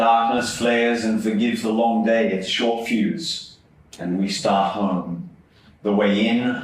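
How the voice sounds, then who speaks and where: A man with an Australian accent, fairly slow pace, audible room echo. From Sydney, Australia (Epping). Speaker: poet. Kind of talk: poetry reading. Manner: measured, deliberate.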